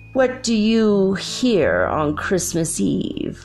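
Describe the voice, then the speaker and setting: Over clear music in the background, a female-sounding voice of medium pitch for a woman speaks in a put-on character voice at a very slow pace. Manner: stern.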